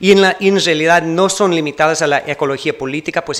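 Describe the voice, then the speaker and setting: Speaking at a moderate pace with a non-native accent and fairly even intonation, the voice comes through noticeable background noise. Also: man. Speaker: keynote speaker, academic researcher. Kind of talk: conference keynote lecture. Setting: university auditorium with audience. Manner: halting, with self-corrections.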